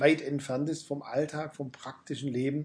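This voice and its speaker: This man's fairly high voice has a dark, mellow tone, somewhat breathy, delivered in a monotone, flat intonation. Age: 50s. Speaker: pastor. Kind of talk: interview. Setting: backstage room after a church service.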